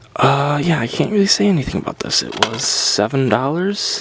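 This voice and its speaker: Over noticeable background noise, a soft-spoken man talks at a medium pitch. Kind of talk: ASMR soft-spoken game collection talk.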